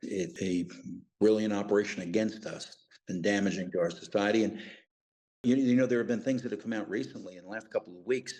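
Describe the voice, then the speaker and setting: Very fast and fairly low-pitched, a man speaks in a dark, mellow tone with ordinary pitch variation. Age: 60s. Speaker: retired intelligence officer and investigator. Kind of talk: interview.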